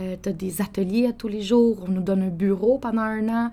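Moderate speed, medium pitch and ordinary pitch variation from a woman with an unremarkable speaking voice. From Quebec City, Quebec. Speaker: coffee entrepreneur. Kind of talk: interview.

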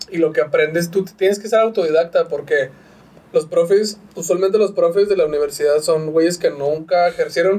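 Dark and mellow in tone, a man's high-pitched voice moves at a moderate pace with fairly even intonation. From northern Mexico, Chihuahua. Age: 30s. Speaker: graphic designer and podcaster. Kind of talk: casual chat. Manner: slight stammer.

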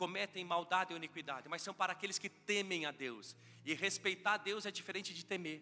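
A man's high voice moves along at a fairly quick clip, its pitch rising and falling in an ordinary way. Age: 40s. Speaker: pastor. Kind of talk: sermon. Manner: animated.

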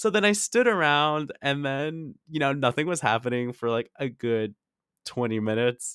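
In a very clean recording with a silent background, a man with an unremarkable speaking voice talks at a moderate pace, his fairly high pitch carrying lively intonation. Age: 20s. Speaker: solo podcast host. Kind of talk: casual monologue.

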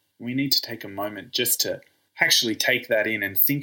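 An Australian-accented man, very clean recording, silent background. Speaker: podcast host, physiotherapist. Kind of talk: interview.

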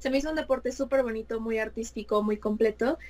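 A woman with an unremarkable speaking voice speaks at a fairly high pitch with ordinary pitch variation. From Mexico City. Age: 20s. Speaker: fashion designer and figure skater. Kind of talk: interview.

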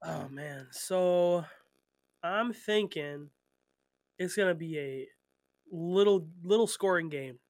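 A man speaks very slowly in a high voice, leaving long, frequent pauses. His pitch varies in an ordinary way while his loudness swings widely. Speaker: gaming podcast co-host. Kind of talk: casual chat.

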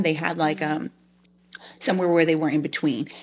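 Recorded very cleanly with a silent background, a woman with an American accent speaks in an unremarkable speaking voice at a fairly low pitch with fairly even intonation. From Long Island, New York. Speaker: foster parent and IT business analyst. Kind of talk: interview testimony.

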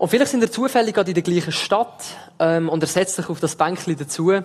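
A man speaks with an Aargau accent. His pitch varies in an ordinary way. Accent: Aargau Swiss. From Switzerland, Aargau. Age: 20s. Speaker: theology student preaching as intern. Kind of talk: sermon. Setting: church service with livestream.

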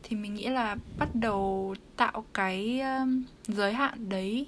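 A somewhat breathy woman at medium pitch, very slow pace and ordinary pitch variation. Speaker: university student. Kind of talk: casual chat.

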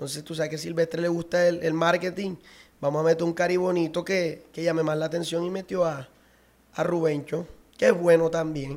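A man with a high voice speaks at a fairly quick pace in a monotone, flat intonation. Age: 30s. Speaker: accordionist and singer. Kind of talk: casual interview.

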